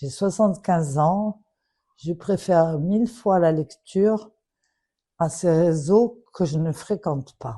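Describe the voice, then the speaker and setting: Taking long, frequent pauses at a very slow pace, a woman speaks in a somewhat breathy voice with a dark, mellow tone. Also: fairly low pitch for a woman, ordinary pitch variation. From Morocco. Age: 70s. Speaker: daughter of a public figure making an appeal. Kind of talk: public plea. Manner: emotional, earnest.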